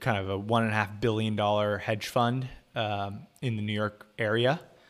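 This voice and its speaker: A man speaks in a plain, everyday voice, keeping a medium pitch, a moderate pace and fairly even intonation. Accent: American. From US West, Southern California (Orange County). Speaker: finance content creator and company CFO. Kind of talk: casual livestream interview. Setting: video call livestream.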